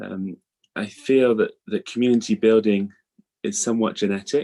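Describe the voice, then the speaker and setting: Very clean recording with a silent background, a man with a British accent, fairly low pitch, dark and mellow tone, fairly even intonation, moderate pace. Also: dry, close sound with no echo. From England. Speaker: rabbi. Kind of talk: lecture. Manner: hesitant, many fillers.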